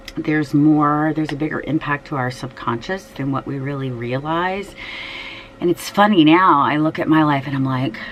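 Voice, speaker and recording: A woman's very deep, low voice at a moderate pace, ordinary in pitch variation, with noticeable background noise. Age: 50s. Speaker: fashion and shoe vlogger, schoolteacher. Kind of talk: casual personal vlog talk. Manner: hesitant, many fillers.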